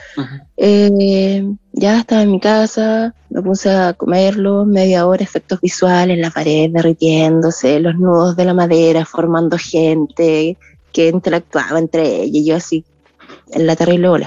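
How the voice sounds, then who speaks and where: A woman's fairly low, dark, mellow voice at a fairly slow pace, with ordinary pitch variation, very even loudness, and a dry, close sound with no echo. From southern Chile, small village. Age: 30s. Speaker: podcast listener sharing story. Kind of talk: personal testimony. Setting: video call.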